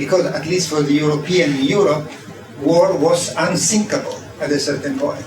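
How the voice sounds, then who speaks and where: A man's fairly high voice with an Italian accent, fairly even intonation and a moderate pace, amid audible room echo and noticeable background noise. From Italy. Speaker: design professor. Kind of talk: keynote lecture. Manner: halting, many fillers.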